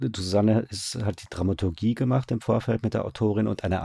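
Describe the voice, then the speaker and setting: A man with a dark, mellow tone speaks at a very fast pace, somewhat breathy, with fairly even intonation. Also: dry, close sound with no echo. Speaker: radio drama director. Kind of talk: casual interview. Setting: online call.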